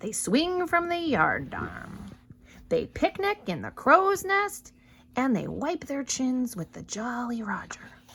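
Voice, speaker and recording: A woman uses a put-on character voice at a high pitch, growling as she goes. She speaks at a fairly slow pace with very wide pitch swings. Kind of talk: pirate talk. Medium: read story.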